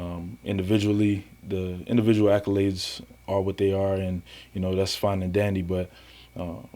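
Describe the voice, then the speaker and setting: With a dark, mellow tone, a man speaks at a very deep, low pitch in a monotone, flat intonation at a moderate pace. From US South, Miami, Florida. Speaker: semi-pro football player. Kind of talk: interview. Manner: hesitant with many fillers.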